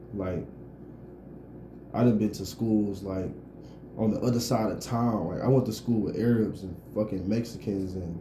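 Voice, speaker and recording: A somewhat breathy man with a dark, mellow tone and a fairly low pitch talks at a moderate pace, with fairly even intonation, long, frequent pauses and audible room echo. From Detroit. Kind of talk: casual chat.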